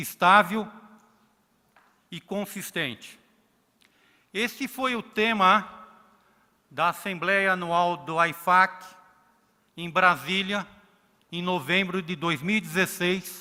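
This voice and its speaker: A man with a Brazilian accent uses a raised, projected voice at a high pitch, speaking at a very slow pace with long, frequent pauses, fairly even intonation and big swings in loudness. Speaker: accounting regulator. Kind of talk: conference talk.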